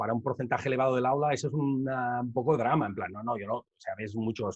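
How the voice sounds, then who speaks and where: Medium in pitch, a man's voice holds a fairly even intonation. He talks at a very fast pace. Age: 30s. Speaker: rapper and educator. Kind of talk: conference Q&A.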